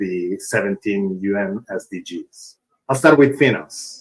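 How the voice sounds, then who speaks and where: With a strong Italian accent, a man speaks in a fairly low voice with ordinary pitch variation. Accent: thick Italian. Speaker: open source foundation executive. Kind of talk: conference talk.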